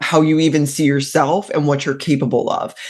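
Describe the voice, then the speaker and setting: In a Mid-Atlantic accent, a woman with a very deep, low pitch talks at a moderate pace in an animated tone. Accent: American, Mid-Atlantic. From Maryland, Mid-Atlantic US. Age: 40s. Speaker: career coach. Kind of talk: interview conversation.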